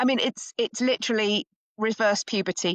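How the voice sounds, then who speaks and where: A woman talks at a moderate pace against a quiet background, in a dry, close sound with no echo. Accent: English. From England. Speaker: perimenopause educator. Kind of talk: interview.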